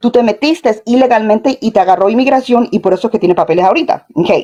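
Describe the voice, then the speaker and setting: A woman speaks at a very fast pace with ordinary pitch variation. Noticeable background noise runs behind her. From Colombia, moved to US as small child. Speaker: caller in live stream. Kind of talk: call-in question, bilingual. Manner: halting, many fillers.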